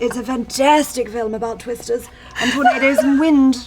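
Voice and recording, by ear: Music plays in the background as a woman speaks at a high pitch with ordinary pitch variation.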